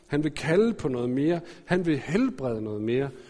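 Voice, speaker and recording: A man speaks here. His tone is dark and mellow. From Denmark, Aarhus. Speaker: pastor. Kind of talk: sermon. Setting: church.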